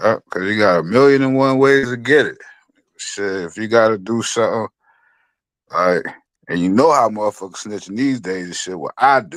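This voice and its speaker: On a very clean recording with a silent background, a man at medium pitch talks at a moderate pace with ordinary pitch variation and long, frequent pauses. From New York. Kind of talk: casual chat. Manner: animated.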